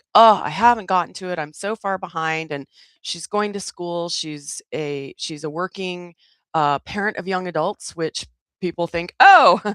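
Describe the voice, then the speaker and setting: With an American accent, a woman speaks at a moderate pace in a fairly low pitch, with ordinary pitch variation and an animated tone. The recording is very clean, with a silent background and a dry, close sound with no echo. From US, California Central Valley. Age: 60s. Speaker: wellness community leader. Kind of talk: livestream community chat. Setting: YouTube livestream.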